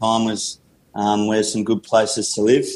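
An Australian accent from a man with a medium pitch, a dark, mellow tone and a moderate pace. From Australia, country Victoria (Gippsland). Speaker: rehab and conditioning coach. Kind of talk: interview.

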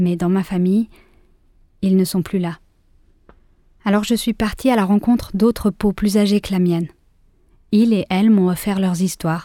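On a very clean recording with a silent background, a woman speaks at a fairly slow pace in a dark, mellow tone with monotone, flat intonation. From Switzerland, Geneva. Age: 30s. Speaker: actress and podcast creator. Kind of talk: scripted narration; interview.

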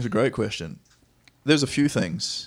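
The speaker is a man. He talks with a New Zealand accent. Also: very clean recording, silent background. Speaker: professional soccer player. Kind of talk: casual interview. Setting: home studio.

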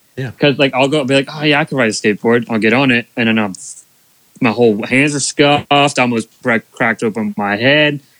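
Heard in a dry, close sound with no echo, a man with a normal speaking voice and an American accent talks fairly quickly at a medium pitch with ordinary pitch variation. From US, Bainbridge area. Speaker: racing media content creator. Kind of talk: casual chat.

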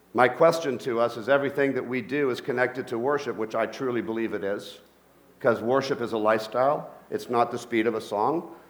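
A very fast man's voice at medium pitch, ordinary pitch variation, and audible room echo. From Colombia. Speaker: pastor. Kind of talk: sermon. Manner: animated.

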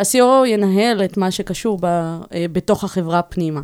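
An unremarkable speaking voice from a woman, fairly low in pitch with ordinary pitch variation, on a very clean recording with a silent background. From Israel, Bat Yam. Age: 40s. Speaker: tech operations executive. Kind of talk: interview. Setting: studio.

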